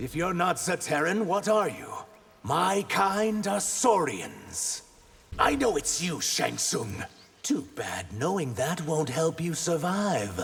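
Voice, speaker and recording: This man puts on a character voice pitched high. He speaks at a fairly slow pace. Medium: video game.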